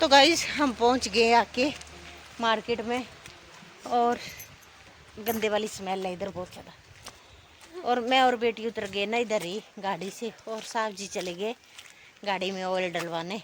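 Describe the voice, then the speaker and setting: A woman with a fairly high pitch speaks with big swings in loudness and long, frequent pauses over noticeable background noise. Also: ordinary pitch variation. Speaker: vlogger. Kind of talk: casual vlog narration. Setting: outdoors, market.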